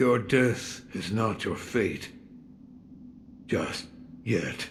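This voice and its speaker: A raspy put-on character voice speaks at a very slow pace against clear background noise. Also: man, medium pitch for a man. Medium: video game. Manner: terse, grave.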